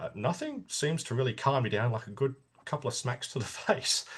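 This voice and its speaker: A man speaks with an Australian accent. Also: quiet background. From Australia, Sydney (Sutherland Shire). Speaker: army veteran. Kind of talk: interview. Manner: halting, many false starts.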